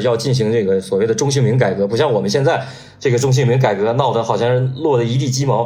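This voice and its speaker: Audible room echo surrounds a man of medium pitch talking at a very fast pace. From Northeast China. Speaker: sports journalist. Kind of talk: casual chat.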